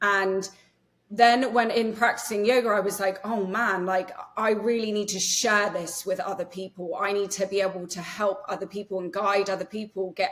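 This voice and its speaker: A woman speaks with an English accent at a medium pitch. Her intonation stays fairly even, and her pace is moderate. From England. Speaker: nervous system healer and yoga teacher. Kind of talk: podcast interview. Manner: casual with many fillers.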